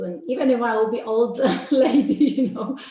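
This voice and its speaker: With a Polish accent, a woman talks at a moderate pace over noticeable background noise. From Poland. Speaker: life coach. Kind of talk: interview. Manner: hesitant, many fillers.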